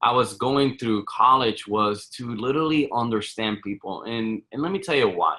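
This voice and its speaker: Against a quiet background, a man with a Spanish accent speaks at medium pitch and a moderate pace in a bright, sharp tone with ordinary pitch variation. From Puerto Rico. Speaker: real estate fund manager. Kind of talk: podcast interview. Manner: halting, many repetitions.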